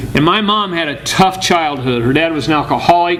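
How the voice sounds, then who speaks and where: With an American accent, a man talks at a moderate pace amid audible room echo and noticeable background noise. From US Midwest, Bloomington, Illinois. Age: 60s. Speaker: motivational speaker. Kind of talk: motivational talk. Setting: room with audience.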